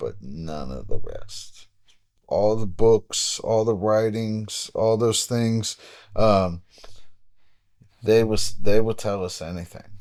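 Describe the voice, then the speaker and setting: Over a silent background on a very clean recording, a man speaks with an American accent and ordinary pitch variation. He goes at a very slow pace, with long, frequent pauses. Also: fairly low pitch for a man, big swings in loudness. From Dayton, Ohio, US. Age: 40s. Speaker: boxing coach. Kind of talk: casual chat.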